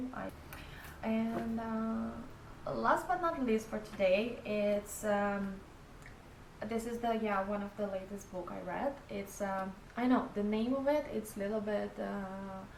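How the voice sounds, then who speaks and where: In a non-native accent, a woman speaks very slowly at a medium pitch with ordinary pitch variation, amid noticeable background noise and audible room echo. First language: not English. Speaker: book vlogger. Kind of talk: casual vlog talk. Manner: halting, many fillers.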